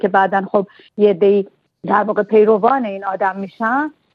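Speaking at a moderate pace, a woman uses an unremarkable speaking voice at medium pitch. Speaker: literary translator and poet. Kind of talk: radio interview.

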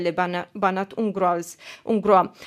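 A woman is speaking. She has a Romanian accent. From Romania, Timisoara. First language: Romanian (speaking French). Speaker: journalist. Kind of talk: radio news report. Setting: studio.

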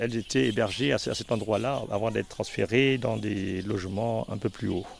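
At a moderate pace and medium pitch, a man speaks with lively intonation and vocal fry. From Gabon. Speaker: guide to the hospital's history. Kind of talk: interview.

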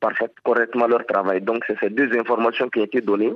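A man with monotone, flat intonation. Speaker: blogger association president. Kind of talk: interview.

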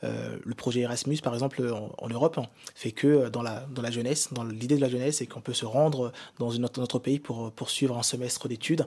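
Flat and monotone, a man talks at a medium pitch. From DR Congo, Kinshasa. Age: young. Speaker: business consultant. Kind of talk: radio panel discussion. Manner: halting.

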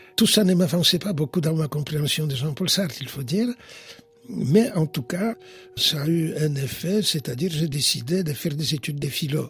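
Against noticeable background noise, a man with a fairly high voice speaks at a moderate pace with ordinary pitch variation. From Poland, Warsaw. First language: Polish (speaking French). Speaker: historian and philosopher. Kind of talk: interview.

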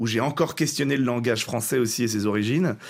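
On a very clean recording with a silent background, a man with a medium pitch speaks at a fairly quick pace with lively intonation. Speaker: actor and co-author of a stage show. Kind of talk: interview. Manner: halting with repetitions.

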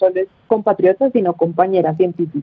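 With ordinary pitch variation, an ordinary speaking voice goes along at a fairly quick pace. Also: woman. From Colombia. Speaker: journalism student. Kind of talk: radio interview. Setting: phone call.

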